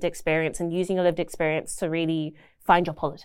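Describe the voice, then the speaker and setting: An animated woman with a British accent on a very clean recording with a silent background. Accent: non-Ontarian (British). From South London, England. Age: young. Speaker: young union member and international student. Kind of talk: casual podcast interview. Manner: animated, frequent laughter.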